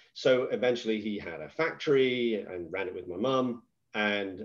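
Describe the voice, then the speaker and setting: Speaking in an English accent, a man holds a medium pitch. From England. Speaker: business executive. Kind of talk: podcast interview.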